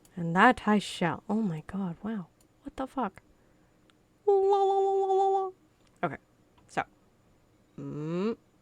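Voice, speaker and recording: Dry and close with no echo, a woman's animated voice moves at a fairly slow pace broken by long, frequent pauses. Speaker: game streamer. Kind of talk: live gameplay stream chat.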